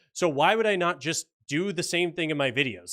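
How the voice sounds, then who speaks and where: With a Canadian accent, a man speaks at a moderate pace in a bright, sharp tone with ordinary pitch variation. The recording is very clean, with a silent background. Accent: mild Canadian, sounds fairly American. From Canada, Ontario. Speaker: political commentary YouTuber. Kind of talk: livestream chat reading viewer comments. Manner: casual, joking.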